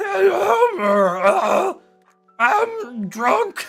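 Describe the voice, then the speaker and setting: Someone uses a put-on character voice at a fairly high pitch, with faint music in the background. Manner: slurred, drawling.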